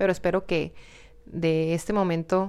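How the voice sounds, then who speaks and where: In a northern Mexican accent, a woman speaks at a very deep, low pitch with monotone, flat intonation. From Mexico, Hermosillo, Sonora. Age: 20s. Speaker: YouTube content creator, podcast host. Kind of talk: casual solo monologue. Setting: home studio in her bedroom. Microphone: new microphone.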